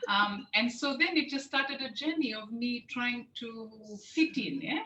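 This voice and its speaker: Her voice raised and projected, a woman speaks at a high pitch with ordinary pitch variation amid noticeable background noise. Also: fairly slow pace. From Fiji, with early childhood in the UK. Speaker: program host. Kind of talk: interview.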